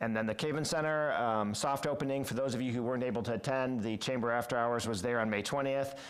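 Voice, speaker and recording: With hardly any pauses, a man talks at a very fast pace and medium pitch, his intonation fairly even and his loudness very even, with audible room echo around him. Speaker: city parks and recreation director. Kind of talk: committee meeting report. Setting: city council committee meeting. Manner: hesitant fillers.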